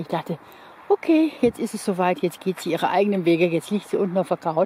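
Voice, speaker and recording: Over light background noise, a woman speaks at a moderate pace with lively intonation in a dry sound with no echo. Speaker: dog owner vlogger. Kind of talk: casual vlog chat. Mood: warm, affectionate. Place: open country. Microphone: phone near.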